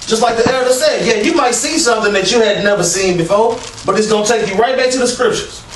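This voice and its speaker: A man speaks at an extremely high pitch and a very fast pace. Audible room echo and noticeable background noise fill the recording. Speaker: street preacher / religious channel co-host. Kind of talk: religious discussion, preaching. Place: empty room.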